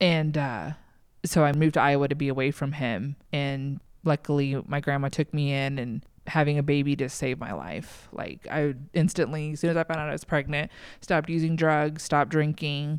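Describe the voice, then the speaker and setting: A woman with an American accent speaks at a moderate pace in a very deep, low pitch, her intonation fairly even. The recording is very clean, with a silent background. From Texas. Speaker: churchgoer sharing testimony. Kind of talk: testimony. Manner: hesitant, many fillers.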